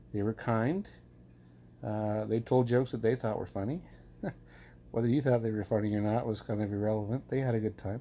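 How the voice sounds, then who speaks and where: A man with a dark, mellow tone talks at a fairly quick pace and a fairly even intonation. He leaves long, frequent pauses. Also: medium pitch for a man. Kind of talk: casual talk to camera.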